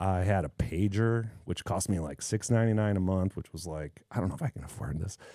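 A man with a very deep, low pitch and a dark, mellow tone talks at a fairly quick pace with hardly any pauses and ordinary pitch variation. The recording is very clean, with a silent background. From Chicago South Side. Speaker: cinematographer and camera operator. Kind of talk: casual interview chat.

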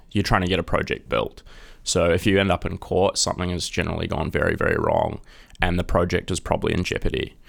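A man with a New Zealand accent speaks at a very fast pace. The recording is very clean, with a silent background. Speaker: junior lawyer. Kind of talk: casual interview.

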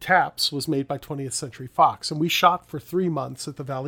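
A man with an American accent and a bright, sharp tone speaks at a fairly quick pace, his fairly high pitch showing ordinary variation, on a very clean recording with a silent background. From New York (Brooklyn). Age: 50s. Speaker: podcast host, actor. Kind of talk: solo reflective monologue.

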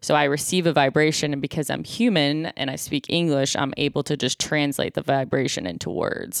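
A woman with an American accent speaks at a fairly quick pace with hardly any pauses, her very deep, low voice showing vocal fry and lively intonation in a dry, close sound with no echo. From Buffalo, New York. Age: 30s. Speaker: comedian. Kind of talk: casual chat. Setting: remote call.

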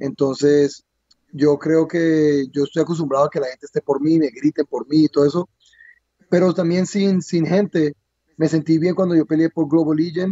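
This man's voice sits fairly high in pitch. He speaks at a moderate pace with fairly even intonation. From Colombia. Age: 30s. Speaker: MMA fighter. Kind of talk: interview. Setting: lying in bed in his room. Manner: halting, repeats words.

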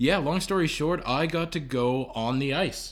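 A man with a Canadian accent and an unremarkable speaking voice talks at a fairly high pitch. His pace is moderate and his pitch variation ordinary. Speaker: podcast guest, roommate of host. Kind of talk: casual chat. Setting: at home.

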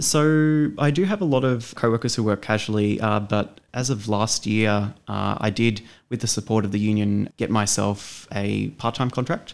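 With an Australian accent, a man with a fairly low pitch and ordinary pitch variation speaks with hardly any pauses on a very clean recording with a silent background. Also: moderate pace, very even loudness. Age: 30s. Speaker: union member and bookstore worker. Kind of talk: interview. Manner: halting, many fillers.

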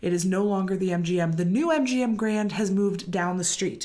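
A woman's normal speaking voice at medium pitch, fairly quick in pace and lively in intonation. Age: 30s. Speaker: podcast co-host. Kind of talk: casual chat.

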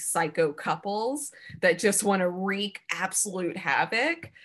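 The speaker talks at a very slow pace with a Southern US accent. The background is quiet. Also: woman. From Alabama. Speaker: podcast co-host and producer. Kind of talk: casual chat.

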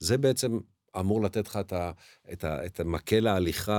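A man's very deep, low voice at a fairly quick pace, in a very clean recording with a silent background. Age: 60s. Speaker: teacher. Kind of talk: interview. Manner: halting.

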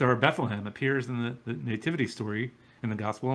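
The text is read aloud in a natural voice.

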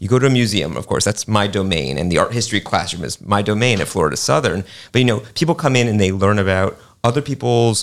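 A plain, everyday voice belongs to a man with an American accent and a fairly low pitch. His intonation is lively, his pace fairly quick, and the recording very clean with a silent background. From New York City. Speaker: art museum director. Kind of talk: radio panel discussion.

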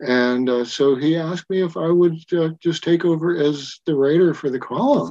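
A man with an American accent and a plain, everyday voice, fairly high in pitch, with ordinary pitch variation and a moderate pace. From Wyoming, US. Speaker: science fiction writer and telescope maker. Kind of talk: casual interview chat.

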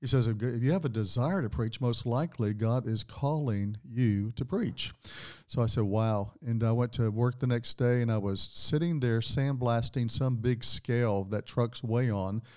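In a very clean recording with a silent background, a man at a medium pitch speaks at a moderate pace with very even loudness and ordinary pitch variation, in an unremarkable speaking voice. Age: 60s. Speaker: pastor. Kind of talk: casual interview chat.

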